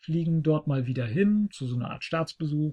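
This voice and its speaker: A man's fairly high, somewhat breathy voice with a dark, mellow tone, at a moderate pace over a quiet background. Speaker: podcast host. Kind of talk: casual chat. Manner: talkative.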